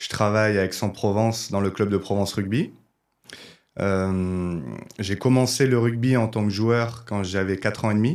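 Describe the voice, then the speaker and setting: Speaking at a fairly slow pace with long, frequent pauses, a man keeps a fairly low pitch and fairly even intonation in a very clean recording with a silent background. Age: 20s. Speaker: rugby video analyst. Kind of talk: podcast interview. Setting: studio. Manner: hesitant, many fillers.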